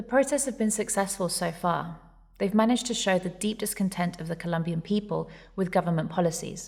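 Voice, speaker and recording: Somewhat breathy, a woman talks at a fairly quick pace with medium pitch and ordinary pitch variation. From Colombia. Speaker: podcast host. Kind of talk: scripted narration.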